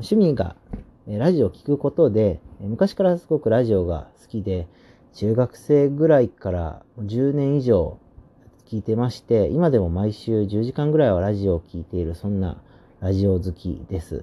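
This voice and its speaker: Speaking at a moderate pace, a man with a fairly low pitch uses an ordinary speaking voice with lively intonation. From Osaka, Japan. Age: 20s. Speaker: podcaster on religion. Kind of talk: solo podcast introduction. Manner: casual with frequent fillers.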